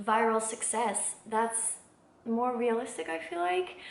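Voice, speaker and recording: A woman's fairly high voice carries through noticeable background noise and audible room echo. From Belgium. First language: not English. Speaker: singer-songwriter, vlogger. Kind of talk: casual vlog monologue. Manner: hesitant, many fillers.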